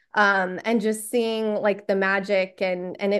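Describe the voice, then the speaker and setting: A woman talks at a moderate pace in a medium pitch. Her intonation stays flat and monotone against a quiet background. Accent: Texan. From Texas. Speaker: sports podcast staff member. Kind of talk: casual interview chat.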